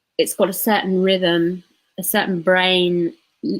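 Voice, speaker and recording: A woman talks at a medium pitch with fairly even intonation, in an unremarkable speaking voice. The recording is very clean, with a silent background. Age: 40s. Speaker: tarot reader and transformation coach. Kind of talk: casual interview chat.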